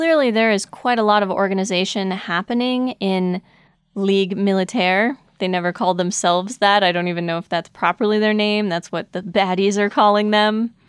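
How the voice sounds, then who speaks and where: The pace is moderate, with ordinary pitch variation. The recording is very clean, with a silent background and a dry, close sound with no echo. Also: woman. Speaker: podcast co-host. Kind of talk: casual chat about anime.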